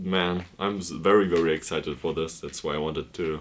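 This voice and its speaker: A man with a very deep, low pitch, a fairly quick pace and fairly even intonation. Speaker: book vlogger. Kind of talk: casual chat. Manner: hesitant, many fillers.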